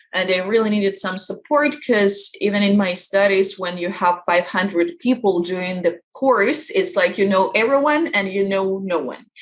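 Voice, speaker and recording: A woman with a Russian accent talks at a moderate pace with hardly any pauses, at medium pitch with ordinary variation. Noticeable background noise can be heard. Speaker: life coach. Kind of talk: interview. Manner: halting.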